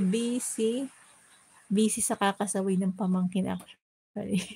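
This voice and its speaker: Soft-spoken and somewhat breathy, a woman talks at a moderate pace with very even loudness. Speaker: cooking and lifestyle livestreamer. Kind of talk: casual livestream chat. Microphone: voice may be too quiet.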